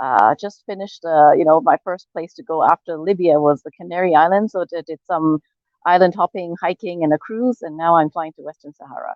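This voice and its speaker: In an ordinary speaking voice, a woman with fairly low pitch talks at a fairly quick pace, with ordinary pitch variation and big swings in loudness. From Hong Kong, moved to Canada at twelve. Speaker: world traveler. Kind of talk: interview.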